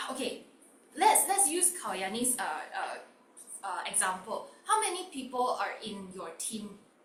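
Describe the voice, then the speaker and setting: A woman speaks loudly at a fairly slow pace. Her pitch swings very widely, and room echo is audible. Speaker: online workshop host. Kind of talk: interactive online workshop.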